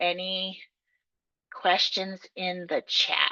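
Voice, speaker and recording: A woman speaks in a bright, sharp tone. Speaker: technical assistance provider. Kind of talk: training presentation. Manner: fast.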